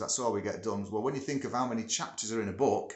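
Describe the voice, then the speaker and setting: A man with a northern English accent at a very fast pace, his intonation fairly even. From northern England. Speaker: music producer and studio owner. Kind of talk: casual vlog talk. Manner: chatty, with many filler words.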